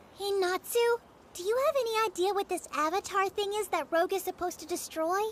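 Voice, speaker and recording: A cartoonish character voice at an extremely high pitch rushes along at a very fast pace over clear background noise. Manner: bright, excitable.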